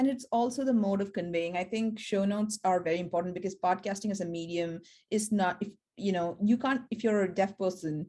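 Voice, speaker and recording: A woman talks at a fairly quick pace in a medium pitch with a dark, mellow tone. Pitch variation is ordinary, on a very clean recording with a silent background. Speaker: academic podcaster. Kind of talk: panel discussion.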